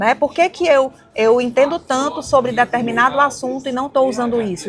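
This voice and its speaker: A woman's high voice in a northeastern Brazilian accent at a fairly quick pace. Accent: northeastern Brazilian, kept. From Brazil, Ceará (Fortaleza). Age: 40s. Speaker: women's mentor and entrepreneur. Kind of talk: podcast interview. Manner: fast.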